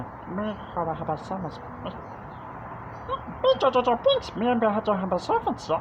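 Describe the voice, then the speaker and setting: Someone does a put-on character voice at fairly high pitch. The delivery is fairly slow, with loud background noise behind it. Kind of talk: broken, third-person style speech.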